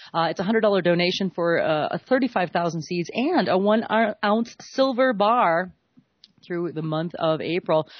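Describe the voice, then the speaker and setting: A woman talks at a medium pitch. Her intonation is lively. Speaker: radio host. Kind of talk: live radio interview with donation plugs. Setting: radio studio. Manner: casual, playful; fast.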